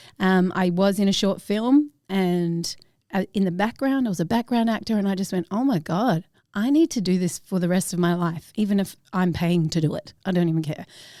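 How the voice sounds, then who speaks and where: With an Australian accent, a woman speaks at a moderate pace in a dark, mellow tone, medium in pitch with ordinary variation, on a very clean recording with a silent background. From Australia with ten years in New Zealand. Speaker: actress. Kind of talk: casual interview chat.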